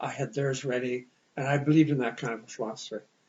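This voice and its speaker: Somewhat breathy and fairly high-pitched, a man speaks with a Canadian accent at a fairly quick pace and with fairly even intonation. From Ontario, Canada. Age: old. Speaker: retired teacher and vice principal. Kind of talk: interview conversation. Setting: sit-down interview.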